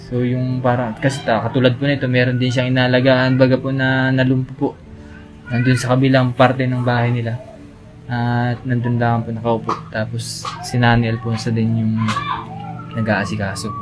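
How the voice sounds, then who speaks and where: Music plays behind a man who talks at a medium pitch and a moderate pace. His intonation is monotone and flat, with long, frequent pauses. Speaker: vlogger. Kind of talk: casual interview talk.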